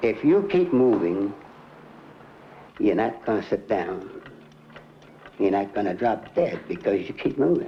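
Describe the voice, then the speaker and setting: A man talks at a fairly slow pace with long, frequent pauses and very even loudness, over noticeable background noise. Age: 80s+. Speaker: shopkeeper. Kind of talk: interview. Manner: animated.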